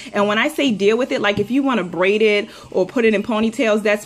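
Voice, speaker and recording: The pace is fairly quick, and noticeable background noise sits behind the voice. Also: woman. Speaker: beauty vlogger, mother giving hair tips. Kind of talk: casual tutorial vlog. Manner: fast; chatty with many fillers.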